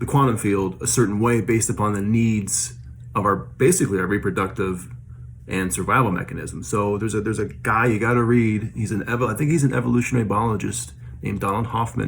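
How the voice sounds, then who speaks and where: A man with a fairly low pitch races along at a very fast pace, his intonation lively. Audible room echo surrounds his words. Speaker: vlogger sharing paranormal experiences. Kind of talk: casual monologue. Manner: hesitant, many fillers.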